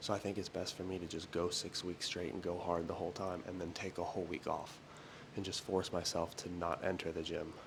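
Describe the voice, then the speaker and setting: A soft-spoken man with a very deep, low pitch, a fairly quick pace and monotone, flat intonation. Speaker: fitness vlogger. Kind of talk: casual vlog monologue. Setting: at home doing early morning cardio. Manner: quiet, talking softly.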